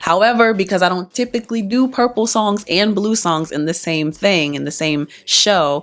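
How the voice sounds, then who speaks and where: With lively intonation and a normal speaking voice, the woman keeps a moderate pace. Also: medium pitch for a woman, hardly any pauses. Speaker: singer and performer. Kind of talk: casual talk to camera.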